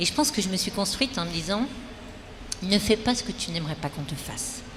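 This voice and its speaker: A woman's medium-pitched voice with lively intonation at a fairly quick pace, over noticeable background noise. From French Antilles. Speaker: restaurant business founder. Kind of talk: interview.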